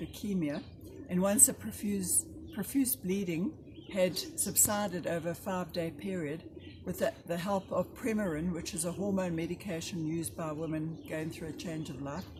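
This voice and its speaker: A woman talks in an ordinary speaking voice at a fairly low pitch and a moderate pace. Her intonation is lively. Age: 60s. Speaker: cancer survivor. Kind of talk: testimony.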